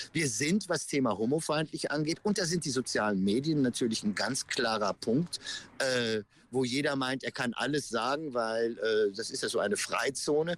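On a very clean recording with a silent background, a man speaks at a moderate pace. His medium pitch carries lively intonation. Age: 50s. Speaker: pride event organizer. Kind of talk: interview. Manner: halting, many fillers.

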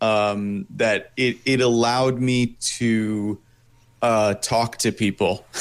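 Very slow and very even in loudness, a man with an American accent speaks at a medium pitch with fairly even intonation. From New York State, US. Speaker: voice actor and illustrator. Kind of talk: interview. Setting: studio.

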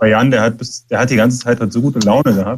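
A man talks in a medium-pitched voice. The intonation stays monotone and flat throughout. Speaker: punk musician. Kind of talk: interview. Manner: soft-spoken. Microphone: too quiet.

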